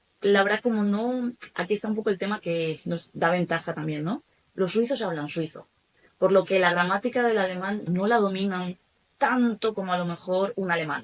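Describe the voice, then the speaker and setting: Speaking with a Spanish accent, a woman of medium pitch keeps a moderate pace and ordinary pitch variation. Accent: Spanish (Spain). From Spain. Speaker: German teacher. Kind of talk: podcast interview.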